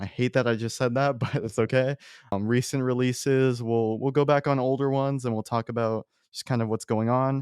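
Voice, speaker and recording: A man's normal speaking voice, fairly even in intonation and fairly quick, with a dry, close sound with no echo and a quiet background. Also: medium pitch for a man. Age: young. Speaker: podcast host, film student. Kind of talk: casual chat. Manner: casual, conversational.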